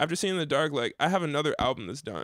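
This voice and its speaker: With an American accent and some vocal fry, a man speaks in a fairly high voice with lively intonation in a very clean recording with a silent background. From Dayton, Ohio, US Midwest. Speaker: musician. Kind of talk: casual chat. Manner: halting.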